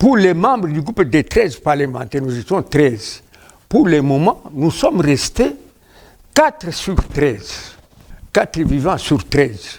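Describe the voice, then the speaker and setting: A man talks at a very slow pace with long, frequent pauses. His fairly high pitch swings very widely. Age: 70s. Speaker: veteran politician, party founder. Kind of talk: TV interview. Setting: TV studio.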